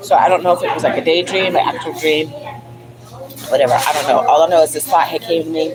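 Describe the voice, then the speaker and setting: Noticeable background noise sits under a woman speaking very fast in an animated tone. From DMV area (Washington DC region), US. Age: 50s. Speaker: livestream vlogger. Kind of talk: casual livestream monologue.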